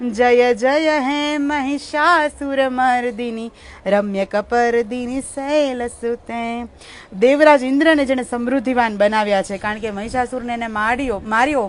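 Her voice high-pitched, a woman speaks with ordinary pitch variation. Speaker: live-stream host. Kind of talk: devotional commentary and scripture explanation.

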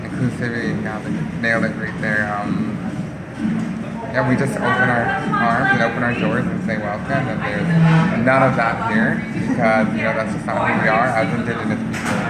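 Against loud background noise, a man speaks at a moderate pace with long, frequent pauses. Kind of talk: interview answer. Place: cafe. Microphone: phone near.

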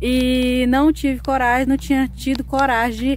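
A woman with a high pitch speaks at a fairly slow pace. The sound is dry with no echo, over light background noise. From Brazil, Maranhão then Mato Grosso; Maranhão, Brazil. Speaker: rural vlogger. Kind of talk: casual vlog talk to camera. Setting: rural smallholding. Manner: hesitant, many fillers. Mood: grateful, earnest. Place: farm machine. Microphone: phone near.

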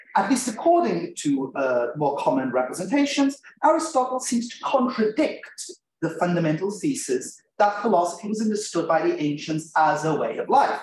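A man's high-pitched voice at a moderate pace, with audible room echo and light background noise. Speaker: conference presenter. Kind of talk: academic lecture. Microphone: webcam.

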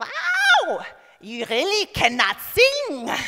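This put-on character voice sits at an extremely high pitch and moves through very wide pitch swings. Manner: sweetly blunt.

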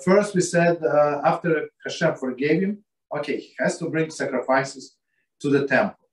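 At a fairly slow pace, a man talks with audible room echo against a quiet background. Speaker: religious text teacher. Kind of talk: lecture. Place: home room. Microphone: video call.

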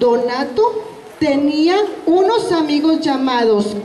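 Speaking slowly in a high voice with a slightly mellow tone, a woman uses lively intonation amid audible room echo.

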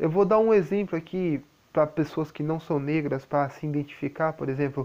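This man is soft-spoken, with a fairly high pitch. His tone is dark and mellow. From Brazil. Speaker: YouTuber. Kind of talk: vlog monologue. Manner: soft-spoken, quiet. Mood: calm, explaining. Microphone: lapel.

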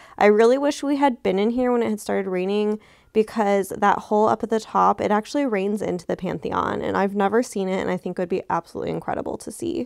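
A woman with an American accent at a very fast pace, hardly any pauses and ordinary pitch variation, in a dry, close sound with no echo on a very clean recording with a silent background. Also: medium pitch for a woman. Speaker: vlogger. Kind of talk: travel vlog with haul narration. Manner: animated.

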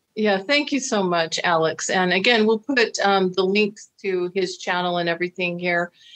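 Over a quiet background, a woman with an American accent and a medium pitch talks at a moderate pace with very even loudness, ordinary pitch variation and hardly any pauses. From United States. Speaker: dating coach and video host; dating coach, video host. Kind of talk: interview conversation. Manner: animated. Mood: warm, friendly. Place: home room. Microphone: video call.

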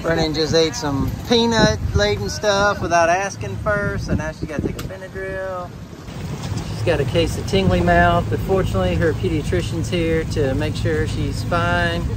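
A man talks at a moderate pace over loud background noise, the sound dry with no echo. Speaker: family vacation vlogger. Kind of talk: casual vlog chat. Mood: cheerful, relaxed. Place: boat. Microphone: phone near.

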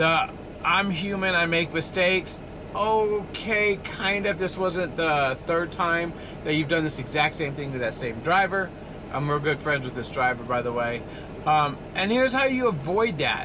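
A man at a high pitch and a moderate pace, with noticeable background noise. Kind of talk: casual vlog chat. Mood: frustrated but calm explaining. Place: car. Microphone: phone near.

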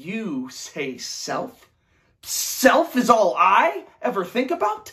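Very slow speech over a quiet background. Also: man. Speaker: acting student. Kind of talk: dramatic audition monologue. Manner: agitated, bitter and exasperated; rising rhetorical outbursts. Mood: angry, frustrated. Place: home room. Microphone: camera far.

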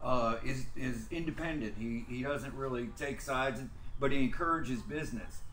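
Medium pitch from a man with an American accent, moderate pace and fairly even intonation, plus audible room echo and light background noise. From Texas. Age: 50s. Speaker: muralist. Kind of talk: casual chat. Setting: studio. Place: studio. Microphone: camera far.

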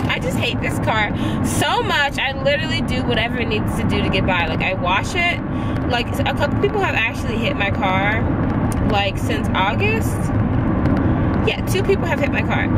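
Loud background noise surrounds a woman speaking at a moderate pace with long, frequent pauses. The sound is dry with no echo. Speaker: vlogger. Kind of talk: casual vlog chat. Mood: mildly annoyed, relaxed. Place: car. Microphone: phone near.

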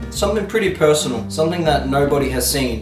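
Clear music sounds behind the speaker. He is a man talking fairly quickly. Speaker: vlogger. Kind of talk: casual vlog chat. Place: home room. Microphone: camera far.

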